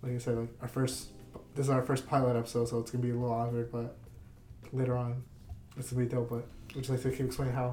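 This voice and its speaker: A man's medium-pitched voice with an American accent, very fast yet broken by long, frequent pauses, flat and monotone over noticeable background noise. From northeastern Pennsylvania. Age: 20s. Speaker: podcast host. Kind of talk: casual chat.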